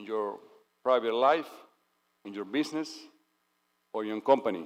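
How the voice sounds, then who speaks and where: A man with an unremarkable speaking voice talks at a moderate pace, medium pitch and ordinary pitch variation, his loudness swinging widely. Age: 60s. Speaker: dignitary giving a speech. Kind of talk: ceremonial speech. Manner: formal.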